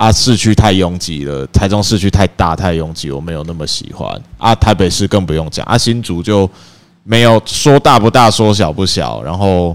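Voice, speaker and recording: With lively intonation, a man speaks at a moderate pace in a very deep, low pitch. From central Taiwan (Dajia, Taichung). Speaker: podcast co-host. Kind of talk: casual chat.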